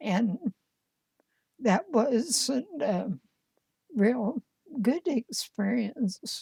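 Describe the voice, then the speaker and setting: A woman with an American accent speaks very slowly, with long, frequent pauses and lively intonation. Her fairly high voice has a dark, mellow tone and a dry, close sound with no echo. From Indiana. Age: 80s+. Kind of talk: interview answer.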